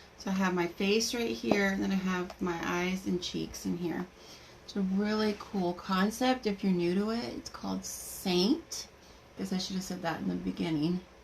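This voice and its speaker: There is noticeable background noise. A woman speaks at medium pitch. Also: ordinary pitch variation, moderate pace. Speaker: makeup seller doing live demo. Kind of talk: live makeup tutorial.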